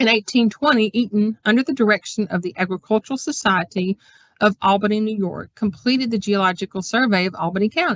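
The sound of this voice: A woman with a Southern US accent, very fast pace, fairly high pitch, and a somewhat breathy quality. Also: ordinary pitch variation. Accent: Southern American.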